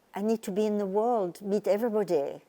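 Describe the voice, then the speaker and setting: With a French accent, a woman speaks at medium pitch. Her tone is dark and mellow. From France. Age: 80s+. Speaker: retired teacher and charity volunteer. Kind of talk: interview. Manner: halting.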